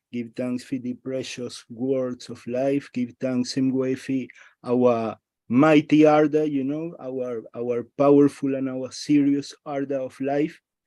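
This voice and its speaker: Fairly high-pitched male speech with a Spanish accent and a dark, mellow tone, delivered fairly slowly against a quiet background. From Venezuela, Caracas. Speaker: religious participant in a study group. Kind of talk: religious discussion on a group call. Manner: formal.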